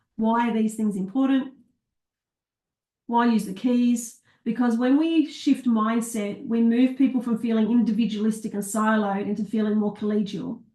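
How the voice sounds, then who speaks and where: Somewhat breathy female voice, fairly high, dark and mellow in tone, with fairly even intonation. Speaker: teacher wellbeing trainer. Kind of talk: live online masterclass. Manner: fast.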